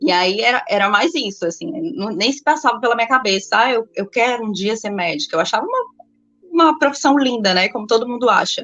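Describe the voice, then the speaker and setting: Pitched fairly high, a woman talks at a fairly quick clip with lively intonation. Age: 30s. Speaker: medical student, former exam candidate and mother. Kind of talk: interview, personal testimony. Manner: halting.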